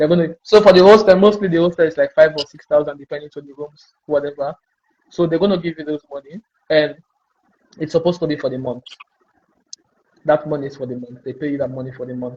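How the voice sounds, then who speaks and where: A man talks at a very fast pace yet leaves long, frequent pauses. His fairly high, somewhat breathy voice shows ordinary pitch variation. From West Africa. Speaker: international student on scholarship. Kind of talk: interview.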